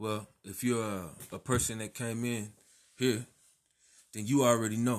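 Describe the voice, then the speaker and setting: Speaking in an American accent with long, frequent pauses, a man shows big swings in loudness and fairly even intonation. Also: medium pitch for a man, moderate pace. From Texas. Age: 30s. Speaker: podcaster in addiction recovery, military veteran. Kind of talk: personal monologue, testimony. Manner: halting, many fillers and repetitions.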